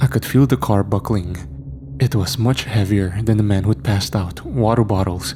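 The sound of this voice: Here is a man with a fairly low pitch and a dark, mellow tone. He keeps a moderate pace and ordinary pitch variation.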